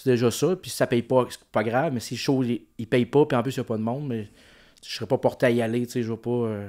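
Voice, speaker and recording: Against a quiet background, a man talks at a very fast pace with a medium pitch, a dark, mellow tone, fairly even intonation and big swings in loudness. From Quebec. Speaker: comedian. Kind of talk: casual chat. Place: home room. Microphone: studio mic.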